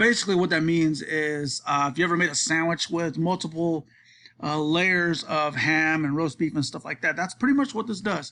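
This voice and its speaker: A man speaks in a high pitch with a bright, sharp tone and ordinary pitch variation. His moderate pace comes through in a very clean recording with a silent background. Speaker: college student. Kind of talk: class presentation. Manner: halting, many filler words; casual.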